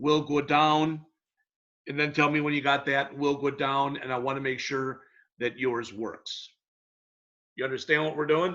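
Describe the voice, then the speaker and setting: Loud and bright, with a sharp tone, a man speaks at a fairly high pitch and a moderate pace in a monotone, flat intonation, leaving long, frequent pauses. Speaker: college instructor. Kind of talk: online lecture.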